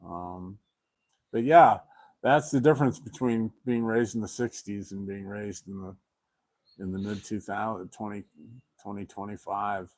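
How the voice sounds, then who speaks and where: A man with a fairly low pitch speaks at a moderate pace with ordinary pitch variation and big swings in loudness. Long, frequent pauses break up his speech on a very clean recording with a silent background. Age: 60s. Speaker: guest telling his life story. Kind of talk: casual interview on a livestream. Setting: live stream. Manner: halting, many fillers and repeats.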